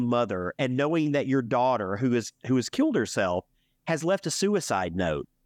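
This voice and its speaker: A man's pitch swings very widely over a quiet background. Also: dry, close sound with no echo. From US South, Alabama. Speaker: podcast host. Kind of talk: casual chat.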